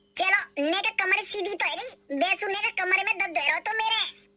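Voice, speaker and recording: A woman's cartoonish character voice, extremely high-pitched, fairly quick, very even in loudness, with ordinary pitch variation. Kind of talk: cartoon comedy voice. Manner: whiny, rustic.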